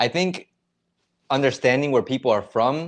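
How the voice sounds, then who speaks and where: A man with an American accent speaks at a fairly slow pace, medium in pitch and with vocal fry. The background is quiet. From United States. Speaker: YouTuber. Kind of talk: livestream chat reading comments. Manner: casual, conversational.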